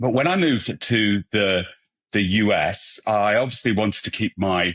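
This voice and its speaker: A man speaks with a British accent at a fairly low pitch. The background is quiet. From England. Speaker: hair colorist and brand ambassador. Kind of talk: podcast interview.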